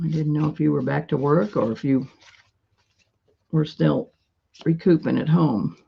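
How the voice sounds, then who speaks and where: At a moderate pace, a woman with a very deep, low pitch, vocal fry and a dark, mellow tone uses lively intonation and long, frequent pauses. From US Midwest, rural west-central Illinois. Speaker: live-stream seller of vintage paper crafts. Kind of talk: casual live-stream chat. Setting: at home, live stream at table. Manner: loud; chatty, talkative.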